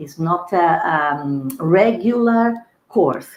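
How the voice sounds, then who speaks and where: This woman's voice sits fairly low in pitch. Her intonation is lively. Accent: non-native. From Brazil. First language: Portuguese. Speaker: pediatric dentist. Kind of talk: webinar interview. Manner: halting.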